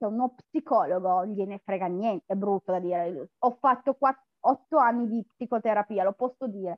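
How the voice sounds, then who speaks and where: A woman with a plain, everyday voice talks at a moderate pace and medium pitch, with lively intonation and hardly any pauses. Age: 30s. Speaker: coaching client, factory worker. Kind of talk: testimonial interview.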